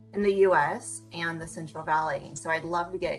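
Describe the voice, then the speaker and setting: Over music in the background, a woman speaks at a moderate pace and fairly low pitch with ordinary pitch variation. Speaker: interview host. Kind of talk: interview host introduction.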